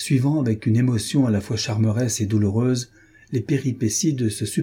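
A passage is being read aloud in a natural voice.

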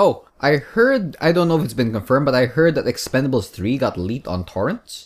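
In a very clean recording with a silent background, a man with vocal fry and a fairly high pitch talks at a fairly quick pace, his pitch swinging very widely and hardly any pauses breaking his speech. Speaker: podcast host. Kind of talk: casual banter. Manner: animated, joking.

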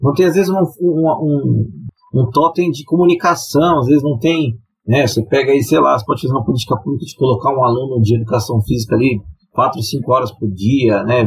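This man's voice is somewhat breathy and medium in pitch. He talks at a fairly quick pace with lively intonation. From São Paulo city (west zone). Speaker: sports commentator. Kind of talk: casual chat.

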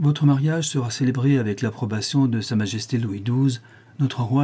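Pitch moves in an ordinary way here. The reading voice is unforced.

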